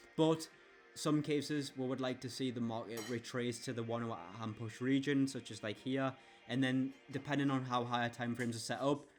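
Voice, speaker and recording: With music in the background, a man speaks at a medium pitch in a monotone, flat intonation. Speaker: forex trader. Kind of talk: tutorial. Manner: fast.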